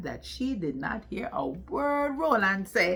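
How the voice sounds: A woman with lively intonation at a fairly slow pace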